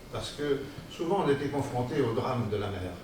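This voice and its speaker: A man at medium pitch with ordinary pitch variation, speaking at a fairly slow pace amid noticeable background noise and audible room echo. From France, Vendée coast (Noirmoutier area). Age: 80s+. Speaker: author giving a talk on his childhood. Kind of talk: public lecture / testimony. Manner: halting, with hesitations.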